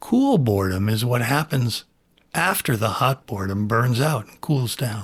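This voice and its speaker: A somewhat breathy male voice at a fairly slow pace. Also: very clean recording, silent background. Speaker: podcast host. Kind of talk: reflective monologue. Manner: long pauses.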